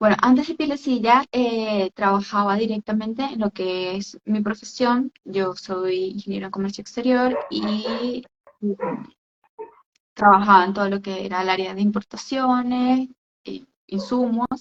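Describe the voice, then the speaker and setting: Fairly slow delivery with ordinary pitch variation and a dry, close sound with no echo. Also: woman. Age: 20s. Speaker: entrepreneur, skincare business owner. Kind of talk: interview on a live stream. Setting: online live stream. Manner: hesitant, many fillers.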